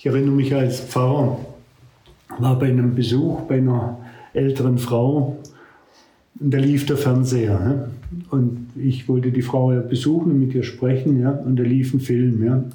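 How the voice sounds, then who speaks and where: Speaking in a flat monotone at a moderate pace, a man keeps his loudness very even and leaves long, frequent pauses, with audible room echo around him. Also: medium pitch for a man. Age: 70s. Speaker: retired pastor. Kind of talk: casual chat.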